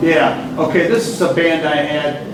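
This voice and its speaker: A man speaks with an American accent at a fairly high pitch. There is noticeable background noise and audible room echo. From Michigan, Grosse Pointe near Detroit. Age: 60s. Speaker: drummer and bandleader. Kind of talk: interview about his music career. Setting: stage at a jazz festival with audience. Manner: halting, many repeated words and fillers.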